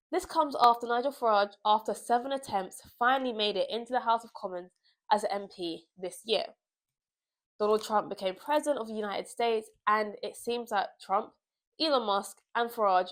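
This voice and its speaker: In a British accent, a woman talks at a moderate pace with a fairly high pitch, ordinary pitch variation and big swings in loudness. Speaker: political commentator. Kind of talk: political commentary vlog.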